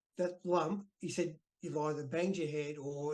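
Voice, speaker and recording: The speaker talks at a moderate pace with an Australian accent and fairly even intonation. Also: man. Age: 60s. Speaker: retired professional wrestler. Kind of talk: interview.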